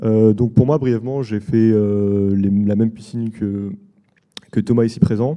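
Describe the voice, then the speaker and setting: Fairly low in pitch, a man keeps his intonation fairly even. He moves at a fairly quick pace. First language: French. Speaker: DevOps engineer, former coding school student. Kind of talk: talk at a bootcamp event.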